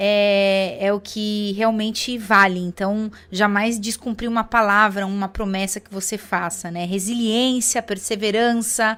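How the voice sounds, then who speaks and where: In a very clean recording with a silent background, a woman speaks with a São Paulo accent at a very slow pace. Her pitch is fairly high, her tone bright and sharp, and her intonation fairly even. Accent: Brazilian Portuguese, São Paulo (paulistano). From Brazil, São Paulo city. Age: 40s. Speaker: network marketing distributor. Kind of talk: testimony. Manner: hesitant fillers.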